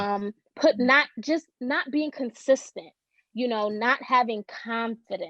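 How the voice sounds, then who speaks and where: In a New York accent, a woman speaks very slowly with a high, bright, sharp tone and ordinary pitch variation, recorded dry and close with no echo. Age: 20s. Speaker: social worker and author. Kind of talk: podcast interview.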